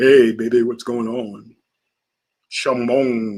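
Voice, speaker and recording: A man puts on a character voice at a medium pitch, delivering it at a very slow pace in a monotone, flat intonation. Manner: smooth, flirtatious.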